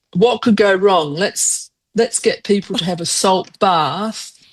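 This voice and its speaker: Her pitch moves with ordinary variation. This woman talks at a very slow pace. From England and Australia. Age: 70s. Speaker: runner. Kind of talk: interview. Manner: halting.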